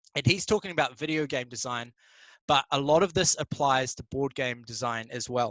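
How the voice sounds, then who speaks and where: A man with a New Zealand accent talks at a medium pitch and a moderate pace. His pitch variation is ordinary, and the sound is dry and close with no echo. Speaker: board game designer. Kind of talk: conference talk. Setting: live stream.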